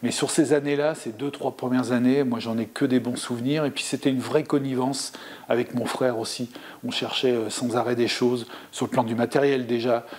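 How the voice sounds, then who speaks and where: A man speaks in a monotone, flat intonation at a moderate pace. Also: medium pitch for a man. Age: 60s. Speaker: former table tennis player and coach. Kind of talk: interview. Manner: hesitant, many fillers.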